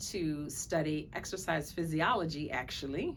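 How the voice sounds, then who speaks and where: Speaking fairly slowly with an American accent, a woman has a fairly low pitch and ordinary pitch variation. Audible room echo surrounds her voice. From Brooklyn, New York. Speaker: physician. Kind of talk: self-introduction to camera.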